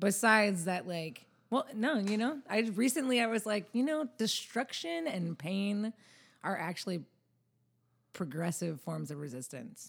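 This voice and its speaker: Very wide pitch swings mark a woman speaking at a fairly slow pace in an American accent, in a very clean recording over a silent background. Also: medium pitch for a woman. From US South. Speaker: musician. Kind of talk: casual chat.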